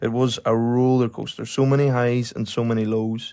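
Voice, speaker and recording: A man with a Donegal accent speaks at a medium pitch in a monotone, flat delivery, recorded very cleanly over a silent background. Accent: Donegal Irish. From Ireland, County Donegal. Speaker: podcast host. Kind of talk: personal storytelling monologue.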